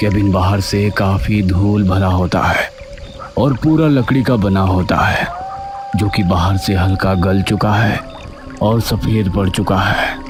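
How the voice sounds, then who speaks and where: Clear music plays behind a man doing a cartoonish character voice. His pitch is fairly low and his pace fairly slow. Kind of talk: horror narration. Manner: slow, suspenseful.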